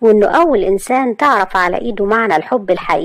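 The clip has a natural reading voice. That voice carries the whole recording.

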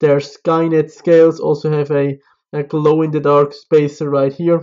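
Over a quiet background, a man talks at a fairly slow pace. His intonation stays monotone and flat. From Switzerland. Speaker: knife reviewer YouTuber. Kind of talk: product review.

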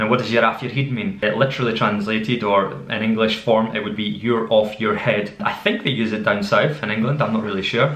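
Light background noise and audible room echo surround a man with a Scottish accent. He talks at a fairly quick pace and a medium pitch with ordinary pitch variation. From Scotland. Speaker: language teacher. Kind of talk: casual language lesson to camera. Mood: friendly, playful. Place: kitchen.

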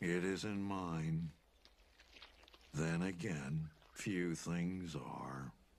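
A man uses a put-on character voice with very deep, low pitch. He speaks at a very slow pace with long, frequent pauses. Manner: gloomy, slow, deadpan.

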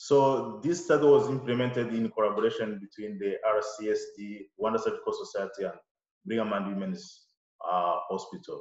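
A man at a moderate pace, with audible room echo over a quiet background. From Rwanda. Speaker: surgeon and lecturer; lecturer. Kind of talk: lecture. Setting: video call. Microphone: webcam.

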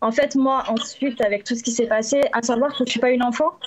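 The background stays quiet. This woman's intonation is fairly even. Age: 30s. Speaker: dog bite victim, witness; witness. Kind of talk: testimony. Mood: serious, slightly hesitant. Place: home room. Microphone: video call.

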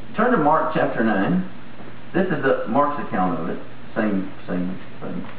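A man speaks at a fairly slow pace with very wide pitch swings, over light background noise and with audible room echo. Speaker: pastor. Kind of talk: sermon. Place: church. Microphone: podium.

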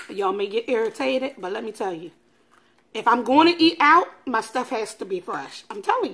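The pace of this woman's speech is moderate. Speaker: food vlogger. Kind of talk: casual vlog chat. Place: kitchen. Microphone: phone near.

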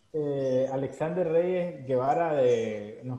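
Amid noticeable background noise, a man talks at a fairly high pitch with fairly even intonation. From Nicaragua. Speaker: webinar host. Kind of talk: live webinar interview. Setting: Facebook Live stream.

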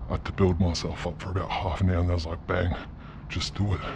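A man's very deep, low-pitched voice against noticeable background noise. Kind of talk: casual vlog chat. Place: factory. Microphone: phone near.

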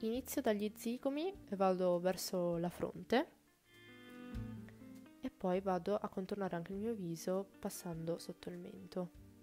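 Faint music plays in the background as a woman speaks at a fairly slow pace and medium pitch, with ordinary pitch variation and long, frequent pauses. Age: 20s. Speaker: beauty YouTuber. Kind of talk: makeup tutorial narration.

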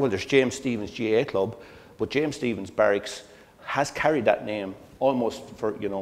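The intonation of this man is lively. He keeps a moderate speed. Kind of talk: lecture. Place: hall. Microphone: lapel.

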